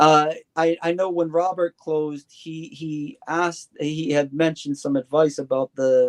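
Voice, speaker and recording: A man with a fairly high pitch and an unremarkable speaking voice, at a fairly slow pace, dry and close with no echo. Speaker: guest discussing religion. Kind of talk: casual discussion.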